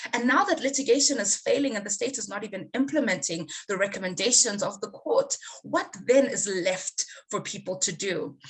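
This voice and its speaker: In a fairly high, somewhat breathy voice, a woman speaks with lively intonation. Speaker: panelist. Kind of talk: webinar presentation. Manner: fast.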